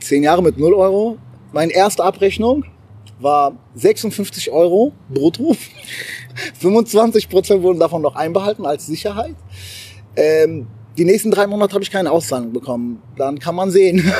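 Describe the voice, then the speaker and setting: A man's high-pitched, animated voice broken by long, frequent pauses, over noticeable background noise. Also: moderate pace. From abroad, moved to Germany at twelve. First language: not German (speaking German). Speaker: entrepreneur. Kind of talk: casual interview. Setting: rehearsal room, then outdoors.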